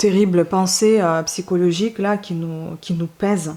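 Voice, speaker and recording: Speaking very slowly, a woman uses a medium pitch with fairly even intonation. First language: not French (speaking French). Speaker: book reviewer / YouTuber. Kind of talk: casual book review monologue. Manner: hesitant, many fillers.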